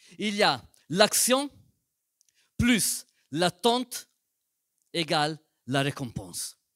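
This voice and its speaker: A man with a non-native accent speaks at a very slow pace, leaving long, frequent pauses. His high voice makes very wide pitch swings. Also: dry, close sound with no echo. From Italian-speaking Switzerland. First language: Italian (speaking French). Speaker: pastor. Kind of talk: sermon. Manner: slow, careful.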